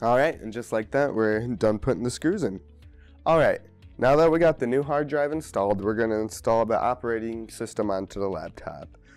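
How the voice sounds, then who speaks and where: With music in the background, a man talks at a fairly quick pace in a medium-pitched voice. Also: lively intonation. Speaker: computer repair tutorial maker. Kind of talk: tutorial narration. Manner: casual.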